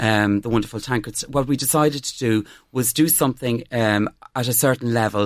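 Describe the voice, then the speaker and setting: Here a man talks fairly quickly with an Irish accent at a medium pitch. The recording is very clean, with a silent background. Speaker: fashion blogger. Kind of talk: interview. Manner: enthusiastic.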